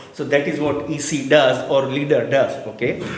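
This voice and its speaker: At a fairly slow pace, the speech carries audible room echo and noticeable background noise. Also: man. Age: 60s. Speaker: toastmaster of the day, club meeting presenter. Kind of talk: educational talk at club meeting.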